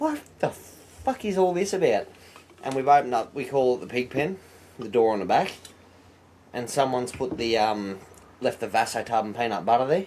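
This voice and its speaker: A man speaks at a moderate pace with an Australian accent and a medium pitch. His intonation is lively, broken by long, frequent pauses. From Australia, Blue Mountains NSW. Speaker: truck driver, former firefighter. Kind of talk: casual chat.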